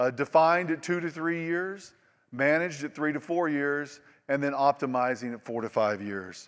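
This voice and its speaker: This man speaks with an Oklahoma accent. His pitch varies in an ordinary way. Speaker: industry presenter. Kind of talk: conference presentation. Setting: stage with audience. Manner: animated, repetitive stammering.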